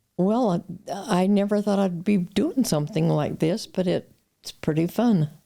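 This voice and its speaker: At a moderate pace, a woman with a Western US accent speaks at medium pitch with ordinary pitch variation. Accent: American, Western US. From Utah. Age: 80s+. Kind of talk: interview answer.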